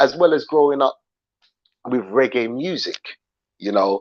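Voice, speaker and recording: Speaking with a British accent, a man uses lively intonation at a medium pitch. The sound is dry and close, with no echo. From London, England. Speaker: YouTube livestream host. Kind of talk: livestream commentary chat. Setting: live stream. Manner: casual, repetitive, with fillers.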